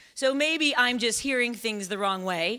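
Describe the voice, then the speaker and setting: A woman with an American accent speaks in a high pitch with lively intonation. Noticeable background noise can be heard. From Chicago. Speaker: stand-up comedian. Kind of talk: live storytelling performance.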